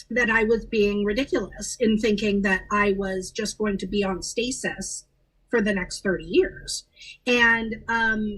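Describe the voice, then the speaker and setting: A woman with a normal speaking voice and a General American accent speaks at a fairly slow pace, her medium pitch showing ordinary variation. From Los Angeles. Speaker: actress. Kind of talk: interview answer.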